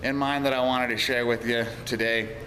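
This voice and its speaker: Over noticeable background noise and audible room echo, a man speaks fairly slowly at a medium pitch with ordinary pitch variation. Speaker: auto repair business owner and vlogger. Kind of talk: video blog monologue. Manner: hesitant, repeats words.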